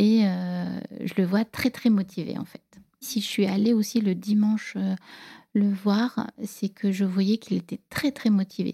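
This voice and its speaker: This woman's voice sits at a medium pitch, somewhat breathy and dark and mellow in tone, with ordinary pitch variation. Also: dry, close sound with no echo. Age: 40s. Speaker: divorced mother telling her love story. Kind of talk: personal storytelling interview.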